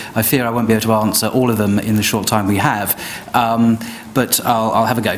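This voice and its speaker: Over noticeable background noise, a man at a medium pitch talks very fast with fairly even intonation. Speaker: debater. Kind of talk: formal debate rebuttal. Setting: live event with audience. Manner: soft-spoken; quiet. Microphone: too quiet for the back of the room.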